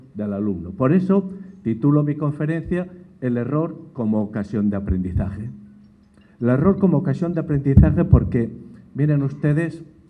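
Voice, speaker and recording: Against audible room echo, a man with a dark, mellow tone speaks at a medium pitch and a moderate pace, with very wide pitch swings and long, frequent pauses. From Spain. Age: 60s. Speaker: education expert, lecturer. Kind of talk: lecture.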